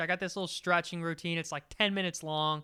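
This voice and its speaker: A man with an American accent speaks in a raised, projected voice. His tone is bright and sharp. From West Virginia. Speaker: podcast host. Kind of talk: casual solo podcast talk. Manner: rambling, filler-heavy.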